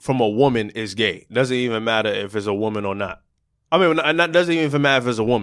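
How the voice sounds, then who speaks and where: In a very clean recording with a silent background, a man speaks very fast at a medium pitch, his intonation lively. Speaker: podcast host. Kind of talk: casual chat. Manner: casual, slangy.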